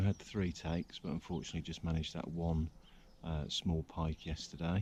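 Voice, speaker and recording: A quiet man with a very deep, low pitch at a moderate pace. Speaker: angling vlogger. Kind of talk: outdoor vlog narration. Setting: outdoors by a river. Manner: quiet, keeping voice down; hesitant, many fillers.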